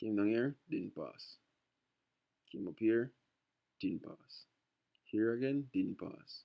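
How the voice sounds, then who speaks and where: Relaxed in tone, a man speaks very slowly with long, frequent pauses and big swings in loudness. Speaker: trading tutor. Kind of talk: tutorial. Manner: relaxed, a bit lazy.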